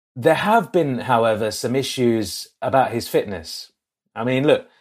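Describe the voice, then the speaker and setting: A man with an English accent at a moderate pace, on a very clean recording with a silent background. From England. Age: 30s. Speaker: cricket podcast host and journalist. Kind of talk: casual chat.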